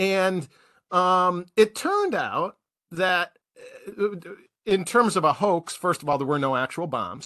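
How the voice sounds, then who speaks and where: Speaking very slowly with long, frequent pauses, a man with an American accent has a high pitch and a bright, sharp tone in a dry, close sound with no echo. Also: ordinary pitch variation. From US Midwest, Milwaukee. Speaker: podcast host. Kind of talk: casual chat. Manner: jokey.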